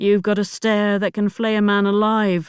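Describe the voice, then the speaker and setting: Over a silent background in a very clean recording, a put-on character voice speaks at a fairly high pitch with monotone, flat intonation. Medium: read story. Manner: guarded, terse.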